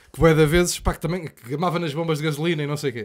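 A man talks at a very fast pace, the background quiet. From Portugal, Lisbon. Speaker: comedian and podcast host; comedian, podcast host. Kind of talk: casual chat. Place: studio. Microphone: studio mic.

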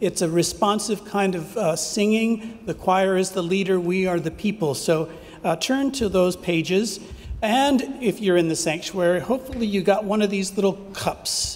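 This man has a high-pitched voice with ordinary pitch variation, and he talks at a moderate pace. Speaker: pastor. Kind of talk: worship service announcements. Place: church. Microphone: podium.

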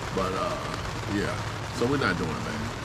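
Loud background noise plays behind a man as he speaks. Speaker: camping vlogger. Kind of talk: casual vlog chat. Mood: relaxed, joking. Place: tent. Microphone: phone near.

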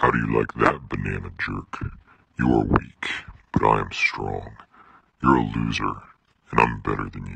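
The speaker puts on a character voice at a moderate pace, leaving long, frequent pauses. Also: man, very deep, low pitch for a man. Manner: cocky, menacing.

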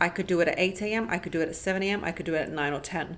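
A woman speaks at a very fast pace in a medium pitch. Light background noise sits behind her. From Eastern European background, schooled in England. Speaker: lifestyle YouTuber and podcaster. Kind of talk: casual Q&A monologue to camera. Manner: animated. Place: home room.

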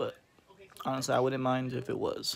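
A man speaks with light noise in the background. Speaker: food vlogger. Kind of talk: casual vlog chat. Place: home room. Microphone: phone near.

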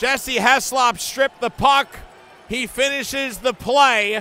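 Over music in the background, a man speaks at a very slow pace in a raised, projected voice with ordinary pitch variation. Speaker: hockey play-by-play announcer. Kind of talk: hockey play-by-play commentary over game highlights. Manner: excited, rising emphasis on goals.

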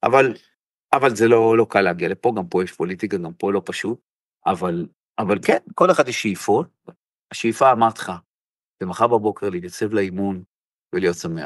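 At a moderate pace and a fairly low pitch, a man speaks with ordinary pitch variation and long, frequent pauses, the sound dry and close with no echo. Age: 60s. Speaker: football coach. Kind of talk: interview.

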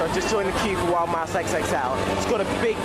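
A man's voice with ordinary pitch variation under loud background noise. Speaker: vlogger. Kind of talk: casual vlog chat. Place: market. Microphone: phone near.

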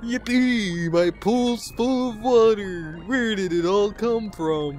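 In a put-on character voice, someone speaks very slowly at a fairly high pitch over clear background music. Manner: cheerful, excited.

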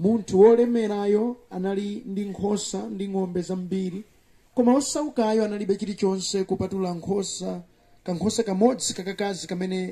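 A man with a high pitch and a dark, mellow tone, over a quiet background. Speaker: preacher. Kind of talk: sermon. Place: open country. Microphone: camera far.

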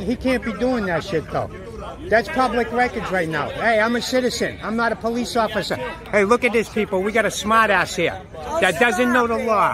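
Crowd noise fills the background as a man with a Boston accent speaks in a raised, projected voice at a high pitch and a moderate pace, with ordinary pitch variation. The sound itself is dry with no echo. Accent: Boston, Massachusetts. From Massachusetts. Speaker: camera-wielding police auditor filming officers. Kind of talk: casual, profane street speech. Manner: confrontational, taunting. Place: street. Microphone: phone near.

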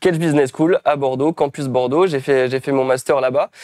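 Against a quiet background, a man with a fairly high pitch speaks with fairly even intonation in a dry sound with no echo. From France, various regions. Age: 20s. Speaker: self-publisher and trainer; interview guest. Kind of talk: interview. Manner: hesitant, many fillers. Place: home room. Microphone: lapel.

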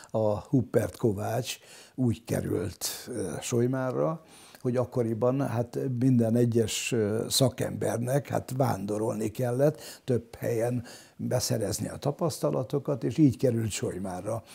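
A man speaks in a dark, mellow tone with vocal fry and ordinary pitch variation. The background is quiet. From Hungary, Solymár; Hungary. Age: 80s+. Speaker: local historian; interviewee. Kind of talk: interview testimony. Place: home room. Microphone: lapel.

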